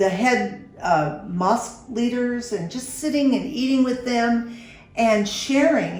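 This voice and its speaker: Music plays behind a woman as she talks. Her pitch is fairly high, with ordinary variation. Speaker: show host. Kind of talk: interview conversation.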